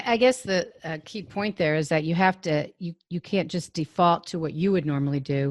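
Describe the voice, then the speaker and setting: A woman talks at a fairly quick pace in a dry, close sound with no echo, over a quiet background. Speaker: podcast host. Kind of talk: interview. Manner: fast.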